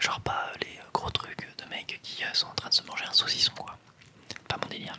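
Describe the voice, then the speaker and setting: A woman is whispering amid noticeable background noise. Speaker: ASMR content creator. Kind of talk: casual talk to camera, ASMR tag Q&A. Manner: soft-spoken, whispering.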